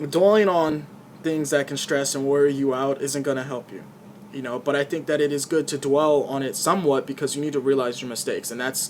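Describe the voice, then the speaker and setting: Noticeable background noise sits behind a man's fairly high voice. His intonation stays fairly even. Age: 20s. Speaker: YouTuber vlogger. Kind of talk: personal vlog monologue. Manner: halting, repeats words.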